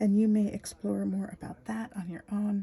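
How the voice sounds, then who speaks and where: A soft-spoken woman talks at a moderate pace. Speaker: spiritual storyteller. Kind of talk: spiritual talk. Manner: repetitive.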